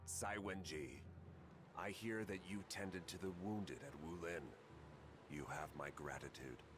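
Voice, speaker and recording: A man uses a put-on character voice with a very deep, low pitch, moving at a moderate pace. He leaves long, frequent pauses over loud background noise. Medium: video game. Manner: dignified, measured.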